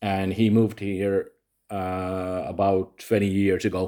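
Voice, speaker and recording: A man's fairly low voice with a Finnish accent, monotone and flat, dark and mellow in tone, at a very slow pace. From Finland. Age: 40s. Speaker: vlogger. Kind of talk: personal monologue vlog. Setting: home recording at night. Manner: halting, many fillers.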